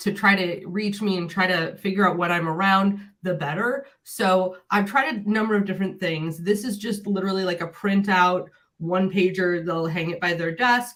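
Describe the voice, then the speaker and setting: A woman speaks in an unremarkable speaking voice at a medium pitch. Her pace is moderate and her intonation fairly even. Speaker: tech coach; educational technology coach. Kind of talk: webinar presentation.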